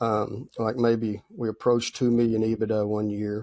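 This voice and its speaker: A man's medium-pitched voice with a dark, mellow tone. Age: 60s. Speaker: machine shop owner, entrepreneur. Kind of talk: interview.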